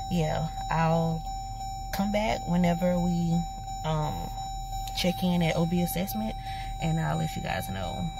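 Over background music, a woman speaks at a moderate pace in a dry recording with no echo. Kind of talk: casual vlog chat. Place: car. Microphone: phone near.

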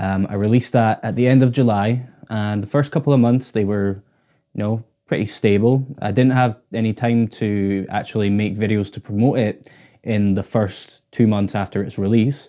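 A man's fairly low voice, dark and mellow in tone, with fairly even intonation, a moderate pace and a quiet background. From Scotland, Orkney; Scotland. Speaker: guitarist and YouTuber; YouTuber. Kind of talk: casual vlog to camera. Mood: grateful, relaxed. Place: home room. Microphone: lapel.

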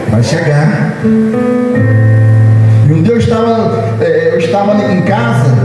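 A man speaks over clear background music, with audible room echo. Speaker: preacher. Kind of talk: sermon. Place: church. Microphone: camera far.

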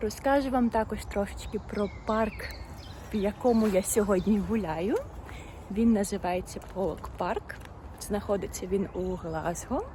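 Over noticeable background noise, a woman at a medium pitch speaks at a fairly slow pace with ordinary pitch variation and long, frequent pauses. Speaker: language teacher vlogger. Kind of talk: casual vlog. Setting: outdoors, walking in park. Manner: slow and clear.

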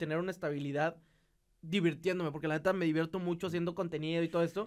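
The speaker is a man with a northern Mexican accent. He talks at a very fast pace. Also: quiet background. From northeastern Mexico. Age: 20s. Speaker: podcast guest, engaged partner. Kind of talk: casual chat. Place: studio. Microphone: studio mic.

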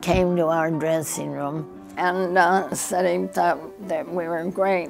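Clear music plays in the background. The speech moves at a very slow pace. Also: woman. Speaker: centenarian and former dancer. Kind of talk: interview answer. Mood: animated, fond reminiscing. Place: home room.

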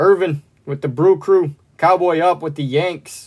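A man at a very slow pace over a quiet background. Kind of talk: live stream card break commentary. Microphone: phone near.

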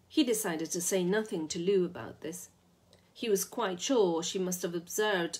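The pitch variation is ordinary in this unforced reading voice.

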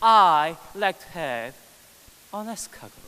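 Slowly, a man with an East Asian accent speaks at a high pitch with big pitch swings. His tone is clear and smooth, yet also bright and sharp.

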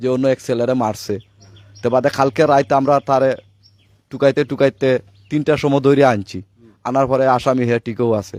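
A man with a plain, everyday voice, medium pitch and fairly even intonation. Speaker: victim's father. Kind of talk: testimony.

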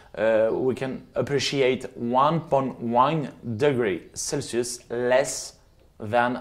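With a French accent, the speaker uses ordinary pitch variation. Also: man. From France, Loire Valley. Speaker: winemaker. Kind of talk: presentation. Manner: halting. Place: home room. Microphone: lapel.

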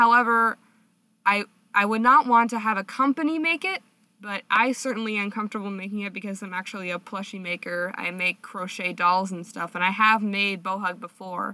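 A woman's normal speaking voice, medium in pitch, with ordinary pitch variation and a fairly quick pace. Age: young. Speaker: webcomic artist and college student. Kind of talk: casual Q&A monologue to viewers.

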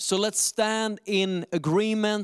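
A man's slow delivery with a clear, smooth tone

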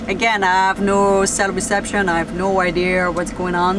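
A woman's voice, dry and echo-free, over noticeable background noise. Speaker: van life vlogger. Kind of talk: casual vlog chat. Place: car. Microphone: phone near.

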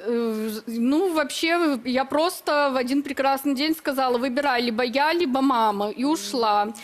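The speaker talks at a fairly slow pace, with ordinary pitch variation and very even loudness. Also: woman, high pitch for a woman, hardly any pauses. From Belarus. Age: 20s. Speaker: bride contestant, self-described witch. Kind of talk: TV talk show interview.

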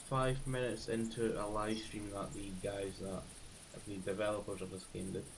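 A man with a Scottish accent over noticeable background noise. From Scotland. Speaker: gaming streamer. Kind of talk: live gameplay commentary. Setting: live stream. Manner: halting.

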